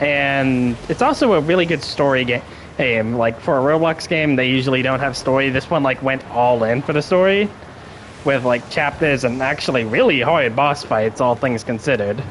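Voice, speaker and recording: At a moderate pace, a man speaks in a medium pitch with ordinary pitch variation and very even loudness, with noticeable background noise. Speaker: gaming streamer. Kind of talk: live gameplay commentary. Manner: casual, with frequent fillers and stutters.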